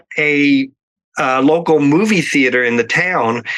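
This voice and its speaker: A man with an American accent, bright, sharp tone, and fairly slow pace. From Oklahoma, US. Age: 60s. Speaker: makeup artist. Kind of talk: interview. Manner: hesitant, many fillers.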